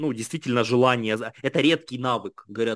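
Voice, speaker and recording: In a very clean recording with a silent background and a dry, close sound with no echo, a man speaks at a moderate pace in a normal speaking voice of medium pitch. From Ukraine, Kharkiv and Kherson region. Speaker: entrepreneur. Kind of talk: interview.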